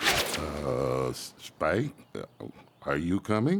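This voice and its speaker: A man's cartoonish character voice, very deep and low, at a very slow pace. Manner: hesitant, soft-spoken.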